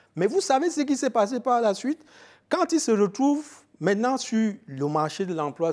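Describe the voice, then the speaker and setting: On a very clean recording with a silent background, a man speaks at a fairly quick pace. His pitch swings very widely. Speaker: film expert and trainer. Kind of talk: radio interview.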